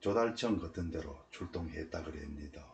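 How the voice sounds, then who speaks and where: A man speaks very slowly with a very deep, low pitch. His voice is somewhat breathy, and his intonation is lively. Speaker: military veteran. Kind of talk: personal memoir narration.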